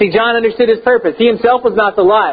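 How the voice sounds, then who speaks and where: A man with an extremely high pitch and an American accent, over noticeable background noise. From Texas. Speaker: pastor. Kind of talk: sermon. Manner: hesitant, many fillers.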